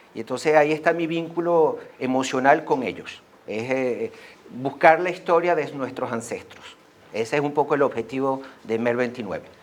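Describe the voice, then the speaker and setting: His pitch sits fairly high for a man. It varies by an ordinary amount. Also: moderate pace. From Venezuela. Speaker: association member, speaker. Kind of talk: school talk.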